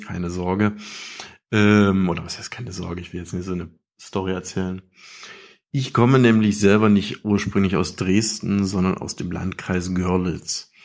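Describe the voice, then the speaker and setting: A man with a very deep, low pitch speaks at a moderate pace in a monotone, flat intonation, with big swings in loudness. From eastern Saxony. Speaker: listener voicemail caller. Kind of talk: recorded listener message.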